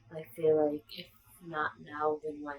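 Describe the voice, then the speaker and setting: Noticeable background noise runs under this recording. The woman's voice sits very deep and low in pitch. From Israel. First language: Hebrew. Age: 20s. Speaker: vlogger. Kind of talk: personal vlog. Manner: hesitant, many fillers. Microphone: bad audio.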